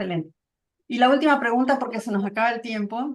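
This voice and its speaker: This woman has a normal speaking voice with a fairly high pitch. Her pitch variation is ordinary. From Santa Cruz, Bolivia. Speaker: interviewer. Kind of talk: interview.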